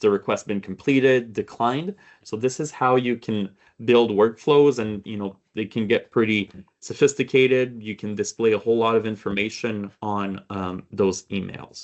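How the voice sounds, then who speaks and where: Against a quiet background, a man speaks at a moderate pace with fairly even intonation and big swings in loudness. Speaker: software trainer; presenter. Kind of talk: webinar tutorial. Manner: frequent fillers like okay and um.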